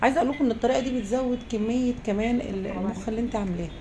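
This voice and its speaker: Fairly high-pitched female speech with ordinary pitch variation over noticeable background noise. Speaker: cooking show host. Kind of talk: cooking tutorial. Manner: casual, chatty.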